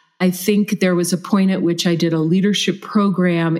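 With an ordinary speaking voice, a woman speaks at a fairly low pitch with fairly even intonation. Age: 50s. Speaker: leadership coach and trainer. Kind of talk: interview conversation.

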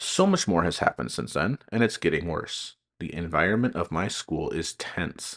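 A man at a moderate pace, hardly any pauses, in a dry, close sound without echo. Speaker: teacher podcast host. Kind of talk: opinionated solo podcast monologue with rants. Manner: candid, humorous, ranting.

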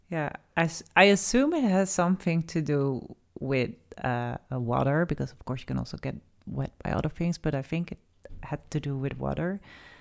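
The woman's pitch is very deep and low. She speaks at a moderate pace with lively intonation. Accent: Dutch. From Netherlands. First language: Dutch. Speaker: podcast co-host. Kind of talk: casual chat.

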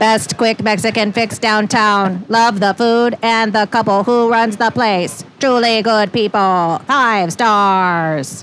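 A woman uses a put-on character voice, fairly high in pitch and fairly slow in pace. Background noise is clearly audible.

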